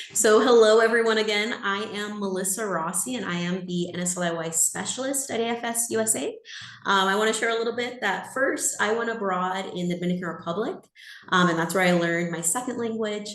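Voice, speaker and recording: Amid noticeable background noise and audible room echo, a woman speaks at a fairly quick pace with medium pitch and ordinary pitch variation. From California. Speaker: exchange program staff presenter. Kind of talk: webinar presentation. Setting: video call.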